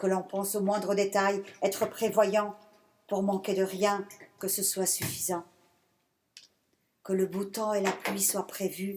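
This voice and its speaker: A medium-pitched woman at a fairly slow pace. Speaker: poet. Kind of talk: poetry reading. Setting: stage with audience. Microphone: speaking without microphone.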